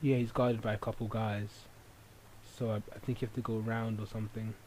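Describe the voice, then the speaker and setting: A man talks at a very fast pace. His voice is somewhat breathy, with monotone, flat intonation. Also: medium pitch for a man. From England. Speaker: gaming video commentator. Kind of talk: let's play commentary. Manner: hesitant, many fillers.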